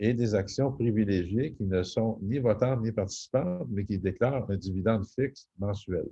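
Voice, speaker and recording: A man's fairly low, somewhat breathy voice with a dark, mellow tone and a Quebec accent, at a moderate pace with ordinary pitch variation, over a quiet background. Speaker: real estate investor and private lender. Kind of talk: webinar presentation. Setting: video call. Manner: hesitant, many fillers.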